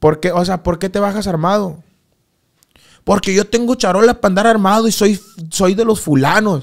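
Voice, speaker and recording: A man talks at a high pitch with ordinary variation. He leaves long, frequent pauses. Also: moderate pace, very clean recording, silent background. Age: 20s. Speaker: corrido singer. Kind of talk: casual interview chat.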